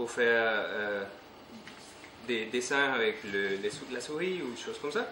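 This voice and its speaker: A man's voice shows ordinary pitch variation, with audible room echo and noticeable background noise around it. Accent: non-native. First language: not French (speaking French). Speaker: conference speaker on retro computing. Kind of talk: technical conference talk. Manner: halting, many hesitations.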